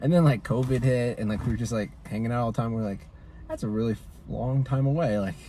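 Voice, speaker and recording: Very fast, somewhat breathy speech from a man at medium pitch, dark and mellow in tone, with ordinary pitch variation. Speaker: vlogger's fiancé. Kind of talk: casual chat. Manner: soft-spoken.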